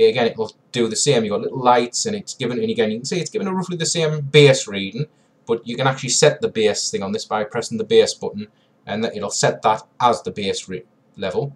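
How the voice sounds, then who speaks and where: Very fast and somewhat breathy, a man's fairly high voice swings very widely in pitch. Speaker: paranormal investigator, tech reviewer. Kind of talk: tutorial. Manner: casual, hesitant.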